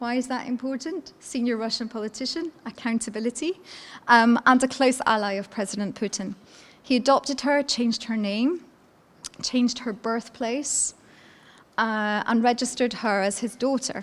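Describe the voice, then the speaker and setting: A woman with a Scottish accent, high pitch, ordinary pitch variation and a moderate pace. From Scotland, Edinburgh. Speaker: law professor. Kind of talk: conference lecture. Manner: hesitant with fillers.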